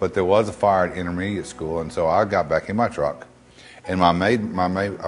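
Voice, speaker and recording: A man with a Texan accent, very deep and low in pitch, fairly quick, with fairly even intonation. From Texas, West. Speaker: local resident. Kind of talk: interview testimony.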